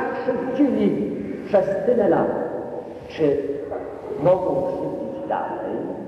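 Over light background noise and strong room echo, a man with an extremely high pitch speaks very slowly with lively intonation and long, frequent pauses. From Poland. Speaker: parish priest. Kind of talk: sermon. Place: church.

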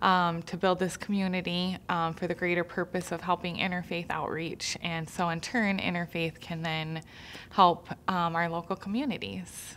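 Over light background noise, a woman with a fairly low pitch talks in a monotone, flat intonation. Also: moderate pace. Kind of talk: interview answer. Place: studio.

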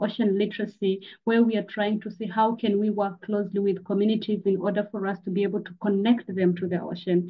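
A somewhat breathy woman's voice, medium in pitch, monotone and flat in intonation, at a fairly quick pace. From Tanzania. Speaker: climate educator and activist. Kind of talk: presentation. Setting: video call.

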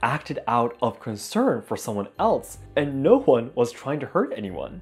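A speaker with a Japanese accent swings very widely in pitch. Music plays in the background. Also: man. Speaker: YouTube host. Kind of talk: storytelling narration to camera. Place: home room. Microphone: lapel.

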